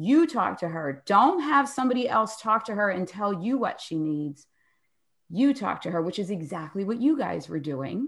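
A somewhat breathy voice with an American accent moves at a moderate pace through very wide pitch swings. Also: woman, medium pitch for a woman. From Philadelphia, US. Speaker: podcast co-host and author. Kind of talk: casual interview chat.

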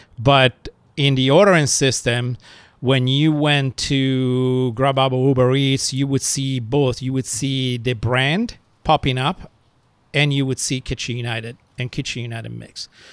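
With an Italian accent, a man speaks at a fairly slow pace with fairly even intonation. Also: medium pitch for a man. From Italy, countryside. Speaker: restaurateur. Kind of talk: interview storytelling.

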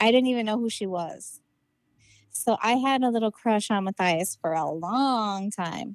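A woman with a fairly high voice speaks at a fairly slow pace in an ordinary speaking voice, with ordinary pitch variation, in a very clean recording with a silent background and a dry, close sound with no echo. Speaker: podcaster, childhood friend. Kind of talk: casual chat.

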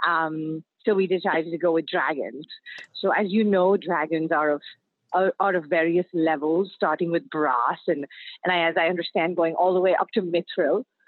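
In an ordinary speaking voice, a woman with a fairly low pitch talks at a moderate pace, her loudness very even and her intonation fairly even. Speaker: startup founder. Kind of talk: interview. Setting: phone call from a car.

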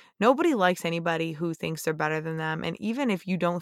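A woman with a fairly low voice talks at a very fast pace in an animated tone, recorded very cleanly against a silent background. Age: 30s. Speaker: police officer and podcast host. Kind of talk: casual monologue.

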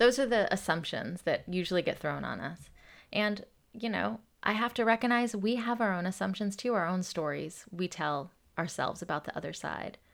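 A woman at medium pitch with vocal fry, lively intonation and a moderate pace. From US South, Atlanta, Georgia. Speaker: activist and nonprofit leader. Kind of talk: interview.

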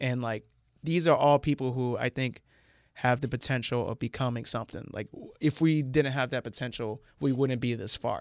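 A man's plain, everyday voice with an American accent, medium pitch, moderate pace and fairly even intonation, with a dry, close sound with no echo and a very clean recording, silent background. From central Florida. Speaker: comedian. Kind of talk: casual chat.

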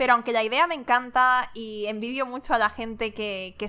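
In a very clean recording with a silent background, a woman speaks at a moderate pace with a bright, sharp tone, fairly high pitch and fairly even intonation. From Madrid, Spain. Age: 20s. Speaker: podcast host, entrepreneur. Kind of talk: casual monologue, Q&A.

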